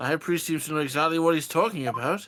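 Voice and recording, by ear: A man at a fast pace, fairly high in pitch, fairly bright in tone, with ordinary pitch variation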